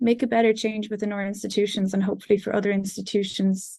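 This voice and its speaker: Fairly quick and somewhat breathy, the woman speaks with an Irish accent in a dark, mellow tone at medium pitch, her intonation monotone and flat. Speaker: music student. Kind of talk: conference presentation. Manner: hesitant, many fillers.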